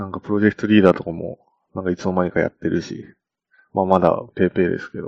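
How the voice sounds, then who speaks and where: Speaking at a very fast pace, a man with a very deep, low pitch keeps a monotone, flat intonation while his loudness swings widely. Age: 20s. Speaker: software engineer podcast co-host. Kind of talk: casual chat.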